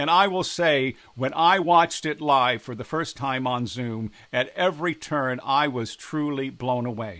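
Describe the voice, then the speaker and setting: A man with an ordinary speaking voice and a fairly high pitch talks at a fairly slow pace with hardly any pauses and ordinary pitch variation, in a very clean recording with a silent background. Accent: American. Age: 60s. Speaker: politician. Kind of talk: direct address to camera.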